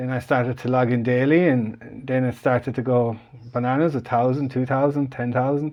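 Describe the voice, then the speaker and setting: At a moderate pace, a man with an Irish accent talks with fairly even intonation. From Ireland. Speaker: online business group founder. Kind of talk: live stream call. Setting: live online call. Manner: casual, halting with fillers.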